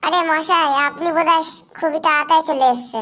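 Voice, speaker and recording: Putting on a squeaky, cartoonish character voice, a woman speaks at an extremely high pitch and a moderate pace with fairly even intonation. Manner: casual, familiar.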